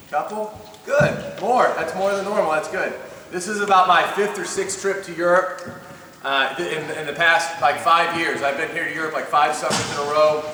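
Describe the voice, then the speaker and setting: A loud, high-pitched male voice with audible room echo and noticeable background noise. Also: ordinary pitch variation. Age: 40s. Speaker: basketball coach. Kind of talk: coaching clinic lecture. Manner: fast.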